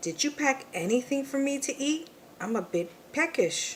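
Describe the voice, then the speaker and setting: A female-sounding voice puts on a character voice, pitched high. She talks at a moderate pace over clear background noise. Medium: read story. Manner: whiny, dramatic.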